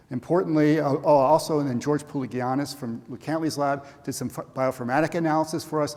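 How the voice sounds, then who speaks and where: Vocal fry colors a man's speech, which keeps fairly even intonation. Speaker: professor, cancer researcher. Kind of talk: scientific conference talk. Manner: fast; halting, many fillers and restarts.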